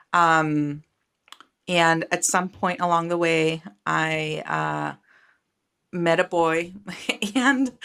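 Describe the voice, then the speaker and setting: Speaking with a Spanish accent, a woman has a fairly low pitch. Her tone is bright and sharp. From Costa Rica. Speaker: startup founder and venture capitalist. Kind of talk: interview. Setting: video call.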